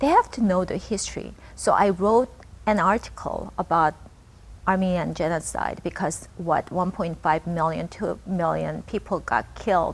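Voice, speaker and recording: A woman speaks at a moderate pace with a Korean accent. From Japan (born in Korea). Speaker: local politician. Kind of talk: interview.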